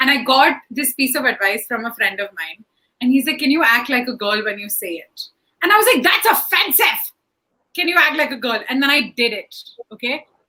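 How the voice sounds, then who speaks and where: A woman's high, bright, sharp voice, animated and raised, with lively intonation at a fairly quick pace. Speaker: stand-up comedian. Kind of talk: panel discussion. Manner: loud.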